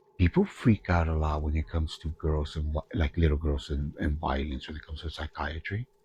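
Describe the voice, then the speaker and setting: In a Spanish accent, a man speaks fairly quickly with hardly any pauses in a very deep, low pitch, the sound dry and close with no echo. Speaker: gaming streamer with therapy background. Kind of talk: let's play commentary. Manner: animated.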